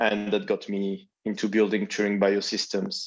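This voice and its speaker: Speaking at a fairly slow pace with a French accent, a man uses a fairly low pitch against a quiet background. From France. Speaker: biotech founder. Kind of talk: panel discussion.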